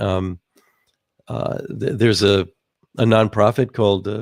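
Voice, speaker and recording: In a dry, close recording with no echo, a man speaks at a moderate pace with a fairly low pitch, fairly even intonation and vocal fry. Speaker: technology speaker. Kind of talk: presentation. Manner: halting, many fillers.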